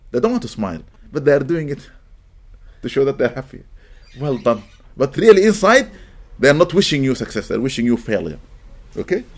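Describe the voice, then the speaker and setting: A man's fairly quick, fairly high voice in an Arabic accent, with vocal fry, very wide pitch swings, and long, frequent pauses. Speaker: imam. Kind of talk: religious lecture. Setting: mosque gathering.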